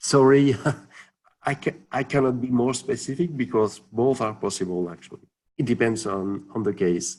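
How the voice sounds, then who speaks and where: A man with a non-native accent and a medium pitch speaks at a moderate pace with lively intonation. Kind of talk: webinar Q&A. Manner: halting, many fillers.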